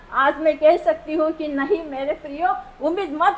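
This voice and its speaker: A woman's extremely high-pitched voice over noticeable background noise. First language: not Hindi (speaking Hindi). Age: old. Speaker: patient. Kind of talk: testimony. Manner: emotional.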